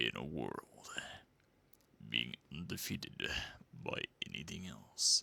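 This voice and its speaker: Putting on a character voice, a man speaks very deep and low with lively intonation at a fairly slow pace, leaving long, frequent pauses, the sound dry and close with no echo. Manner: dramatic, portentous.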